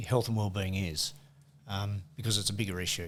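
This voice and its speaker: Somewhat breathy and fairly low-pitched, a man talks at a fairly quick pace in an Australian accent with fairly even intonation. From Australia, west coast of Tasmania. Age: 60s. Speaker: workplace safety manager and football umpire. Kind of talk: casual interview chat. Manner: halting, many fillers.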